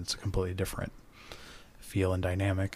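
Here a man talks in a somewhat breathy, fairly low-pitched voice. His intonation is monotone and flat. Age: 40s. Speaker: podcast guest. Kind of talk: casual chat.

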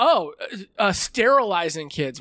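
A man's fairly high voice has a bright, sharp tone and very wide pitch swings, heard in a very clean recording with a silent background. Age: 40s. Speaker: podcast host and comedian. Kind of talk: casual chat.

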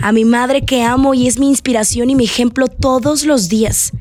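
A woman's voice with a high pitch. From Mexico, Sonora (Navojoa). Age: 20s. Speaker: radio presenter and podcaster. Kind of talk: personal monologue podcast.

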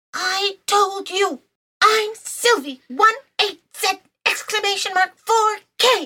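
A female-sounding, put-on character voice, squeaky and extremely high-pitched, moves at a fairly slow pace. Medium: audio drama. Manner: indignant, excitable.

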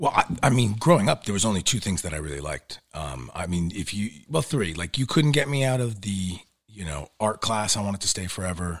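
Talking at a very fast pace in a New York accent, a man shows vocal fry and very wide pitch swings. The recording is very clean, with a silent background. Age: 40s. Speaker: actor. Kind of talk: casual chat. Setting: studio.

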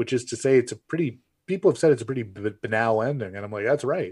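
A man speaks with a Canadian accent. The recording is very clean, with a silent background. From Canada. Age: 30s. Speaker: film critic and author. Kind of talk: interview.

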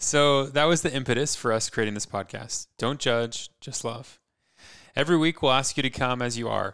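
An unremarkable speaking voice with an American accent moves at a moderate pace. Pitch variation is ordinary, and the recording is very clean with a silent background. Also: man, medium pitch for a man. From California (San Francisco Bay Area). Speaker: podcast co-host. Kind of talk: casual chat.

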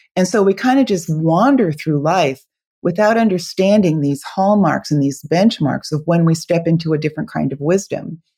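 A woman with an ordinary speaking voice, a fairly low pitch and lively intonation, at a moderate pace. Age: 60s. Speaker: author and spiritual tour guide. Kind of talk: casual interview chat.

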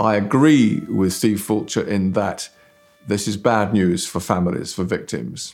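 Music plays in the background as a man speaks. His fairly low voice carries lively intonation. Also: fairly slow pace. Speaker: BBC journalist. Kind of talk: interview commentary.

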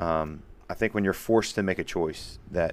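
In a very clean recording with a silent background, a man speaks loudly with fairly even intonation. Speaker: podcast host. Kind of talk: casual chat. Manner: aggressive in conversation.

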